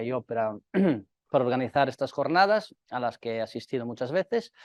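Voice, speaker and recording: A man speaks at a medium pitch. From northeast Italy near Slovenia. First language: Italian (speaking Spanish). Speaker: company representative. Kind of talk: conference talk. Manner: hesitant, many fillers.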